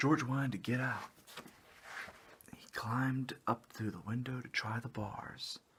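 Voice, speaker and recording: Noticeable background noise sits behind a man with a medium pitch. His relaxed tone moves at a very slow pace. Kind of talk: children's story read aloud, with joking asides. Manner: casual, relaxed, whispery.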